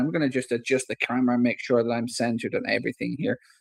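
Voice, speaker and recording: A man with an Irish Midlands accent, in a dry, close sound with no echo. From Ireland, Athlone (Irish midlands). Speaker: football fan streamer. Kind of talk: live match commentary. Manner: casual, chatty with fillers.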